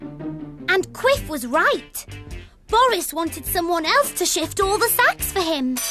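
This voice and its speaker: A cartoonish character voice, female-sounding and extremely high in pitch, speaks at a fairly slow pace. Faint music plays in the background. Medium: puppet. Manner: playful.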